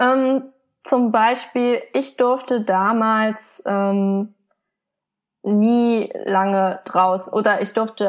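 A woman's fairly high voice, with ordinary pitch variation, is captured in a very clean recording with a silent background. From Germany. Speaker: illustrator and comic artist. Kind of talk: interview. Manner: soft-spoken.

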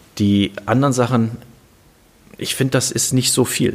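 A man's speech shows ordinary pitch variation, with noticeable background noise behind it. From Germany, Kassel (northern Hesse). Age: 50s. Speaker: serial startup founder. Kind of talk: interview.

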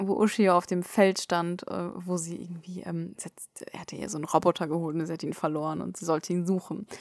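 A woman speaks in a flat monotone, with hardly any pauses. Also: fairly low pitch for a woman, fairly quick pace, big swings in loudness. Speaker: anime podcast co-host. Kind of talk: casual chat. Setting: sitting face to face, travel mic.

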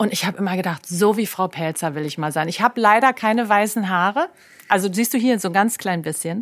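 A woman's fairly quick speech in a normal speaking voice, medium in pitch, with ordinary pitch variation. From Germany, Berlin. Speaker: health coach and former fashion creative director. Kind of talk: casual interview conversation.

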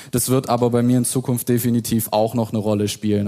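Delivery is fairly quick. A dark, mellow tone comes with fairly even intonation. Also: man. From Stuttgart, Germany. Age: 20s. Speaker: insurance broker and YouTuber. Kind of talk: panel discussion. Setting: stage with audience.

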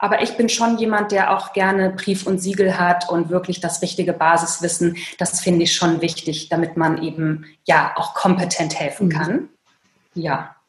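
This woman has an unremarkable speaking voice, fairly low in pitch, with fairly even intonation and a moderate pace. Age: 40s. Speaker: author and burnout coach. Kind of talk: interview.

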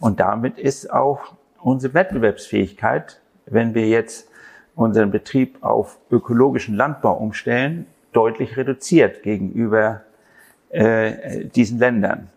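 A man's normal speaking voice at a fairly slow pace, with ordinary pitch variation. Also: medium pitch for a man. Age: 60s. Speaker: farmer. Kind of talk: interview.

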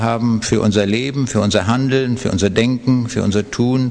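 Over noticeable background noise, a man speaks at a moderate pace and medium pitch with fairly even intonation. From Lower Saxony, Germany. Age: 70s. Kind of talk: interview testimony.

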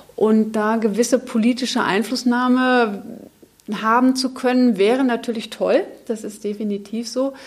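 A woman with a fairly high pitch and monotone, flat intonation. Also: moderate pace. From Germany, Munich. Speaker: biochemist. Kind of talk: panel discussion. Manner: hesitant, many fillers.

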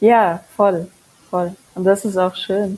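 Over noticeable background noise, a woman speaks with a Mongolian accent and fairly even intonation. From Mongolia, raised in Germany. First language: Mongolian (speaking German). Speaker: singer-songwriter. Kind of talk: casual interview chat. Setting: remote recording.

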